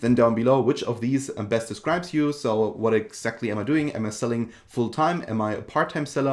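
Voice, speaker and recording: Spoken at a fairly quick pace with a German accent, the voice shows ordinary pitch variation. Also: man. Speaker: online seller and tutorial creator. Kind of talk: tutorial. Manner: casual with frequent fillers.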